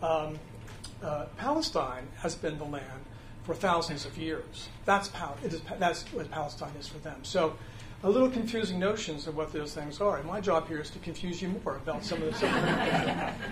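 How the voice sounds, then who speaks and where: Moderate pace and ordinary pitch variation amid noticeable background noise and audible room echo. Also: man, high pitch for a man. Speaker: church adult education teacher. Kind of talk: lecture. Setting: classroom without a mic. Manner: halting, many fillers; speaking loud. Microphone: no microphone, speaking unamplified.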